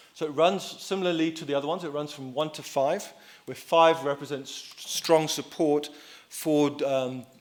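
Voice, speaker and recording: Audible room echo surrounds a man's fairly high voice as he speaks at a moderate pace with fairly even intonation and big swings in loudness. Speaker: survey researcher. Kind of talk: conference presentation. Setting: conference hall with audience. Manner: soft-spoken; halting.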